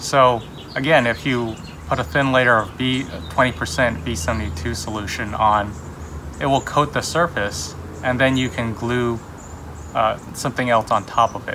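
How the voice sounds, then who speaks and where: With noticeable background noise behind him, a man speaks slowly, with ordinary pitch variation and long, frequent pauses. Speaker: hobby society member demonstrating. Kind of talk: tutorial. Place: garden.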